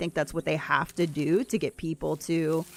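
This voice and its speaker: In a very clean recording with a silent background and a dry, close sound with no echo, a woman with a fairly low pitch uses a normal speaking voice at a moderate pace. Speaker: gaming streamer. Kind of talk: casual livestream chat.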